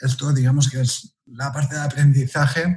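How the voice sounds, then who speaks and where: Speaking at a fairly slow pace, a man with a fairly high pitch has a somewhat breathy voice and a dark, mellow tone. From Catalonia, Spain (near Barcelona). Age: 40s. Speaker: pastry chef and teacher. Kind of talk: interview.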